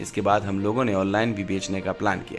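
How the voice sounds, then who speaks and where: With music playing in the background, a man speaks at a moderate pace. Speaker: news narrator. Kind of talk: news report narration.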